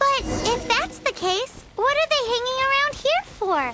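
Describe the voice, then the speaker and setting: A squeaky, put-on character voice at an extremely high pitch, moderate pace, with music in the background. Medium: video game. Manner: dry, wry.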